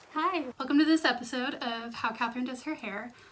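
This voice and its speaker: A woman speaks at a moderate pace and high pitch with ordinary pitch variation, over noticeable background noise. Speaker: book vlogger. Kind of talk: casual vlog. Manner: quiet in the mornings; low energy in the morning.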